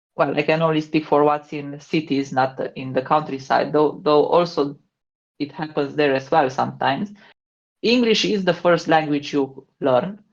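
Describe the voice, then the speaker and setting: A woman speaks with a slight Romanian accent. Her pitch is very deep and low. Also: ordinary pitch variation, moderate pace. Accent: slight Romanian accent, good English. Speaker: podcast co-host, game expert. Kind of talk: casual chat.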